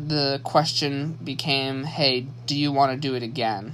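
Audible room echo surrounds a man speaking very slowly with an American accent. His voice sits fairly high. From US Midwest, Saginaw, Michigan. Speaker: podcast host. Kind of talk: solo monologue, personal story. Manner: halting, many fillers and restarts.

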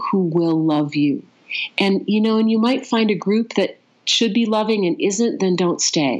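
Speaking fairly slowly with an American accent, a woman uses an unremarkable speaking voice at medium pitch, with lively intonation and very even loudness. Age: 50s. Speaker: coach and consciousness expert. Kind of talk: interview.

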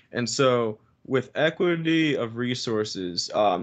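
Over a quiet background, a man with a plain, everyday voice talks at a medium pitch with ordinary pitch variation. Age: 20s. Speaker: music educator and saxophonist. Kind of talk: casual chat.

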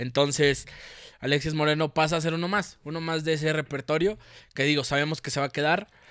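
Speaking with a Mexican accent, a man keeps a fairly high pitch and fairly even intonation at a fairly quick pace. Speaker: football podcast host. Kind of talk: casual chat.

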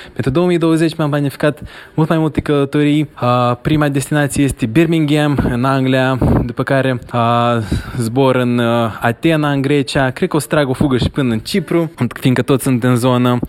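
Over noticeable background noise, the voice holds a very even loudness and fairly even intonation. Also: man, medium pitch for a man, moderate pace. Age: young. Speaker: listener sending a voice message. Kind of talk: recorded voice message. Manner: halting, with filler sounds.

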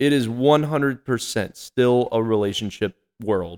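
In an American accent, an ordinary speaking voice moves at a moderate pace with ordinary pitch variation, the sound dry and close with no echo. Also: man. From North Carolina. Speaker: manufacturing sales manager. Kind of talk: casual chat.

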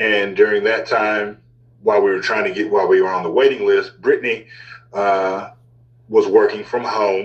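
A man's talking moves along at a moderate pace while noticeable background noise sits underneath. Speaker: podcast guest. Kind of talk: casual chat. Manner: filler-heavy, casual.

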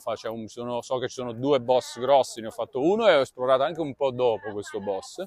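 A man speaks at a very fast pace with hardly any pauses. The sound is dry and close, with no echo. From Milan. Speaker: podcast host. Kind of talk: casual chat. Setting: outdoors.

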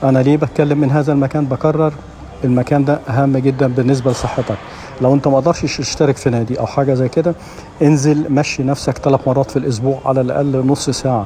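A man's fairly high, monotone voice at a fairly quick pace, with flat intonation, very even loudness and noticeable background noise. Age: 60s. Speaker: radio host. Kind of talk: casual monologue. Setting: gym.

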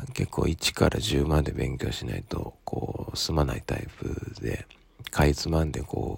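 A man with a very deep, low pitch and vocal fry speaks at a fairly slow pace, his intonation fairly even. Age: 30s. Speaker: solo podcaster studying for an exam, parent. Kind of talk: casual monologue. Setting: early morning at home. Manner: halting, many fillers.

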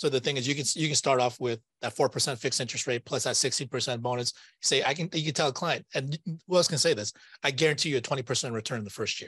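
Very fast speech from a man at medium pitch, with ordinary pitch variation and big swings in loudness, a dry, close sound with no echo and a quiet background. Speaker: podcast host. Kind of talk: casual interview chat. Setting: studio.

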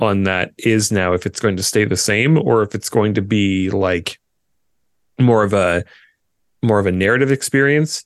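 A man's fairly low voice sounds dry and close with no echo, over a quiet background. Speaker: podcast co-host. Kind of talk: casual chat.

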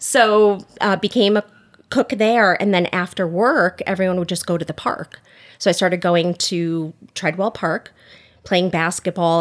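In a very clean recording with a silent background, a woman with an American accent speaks at a moderate pace, her fairly low pitch held in fairly even intonation. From Connecticut, US (Oxford). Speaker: small business owner. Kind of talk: casual interview. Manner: talkative.

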